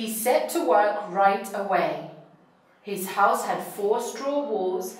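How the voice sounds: The speaker reads in a natural reading voice.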